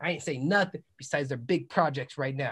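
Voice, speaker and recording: Against a quiet background, a man speaks at a very fast pace in an energetic, animated tone. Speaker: podcast host and musician; podcast host. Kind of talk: casual podcast chat; self promotion. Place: home room. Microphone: video call.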